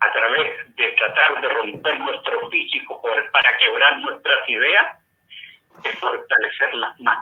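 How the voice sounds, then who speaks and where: A man is speaking. His pace is fairly slow. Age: 60s. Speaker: former political prisoner. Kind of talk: testimony. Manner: impassioned.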